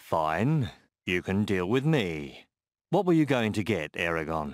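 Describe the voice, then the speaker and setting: A man puts on a character voice that is very deep, resonant and rumbling, with very wide pitch swings. He goes at a fairly slow pace, keeping his loudness very even. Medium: read story.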